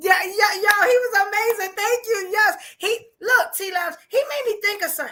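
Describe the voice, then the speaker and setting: A woman's raised, projected voice with a New York accent, extremely high in pitch, bright and sharp, animated, with ordinary pitch variation at a moderate pace. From New York, Brooklyn. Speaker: podcast host. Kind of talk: live podcast chat.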